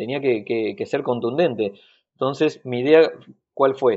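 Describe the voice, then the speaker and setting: The speaker has a Rioplatense accent and a fairly quick pace. Pitch variation is ordinary. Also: man. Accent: Argentine Rioplatense Spanish. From Argentina, Bahía Blanca. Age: 30s. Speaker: carpenter. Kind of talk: interview. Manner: halting.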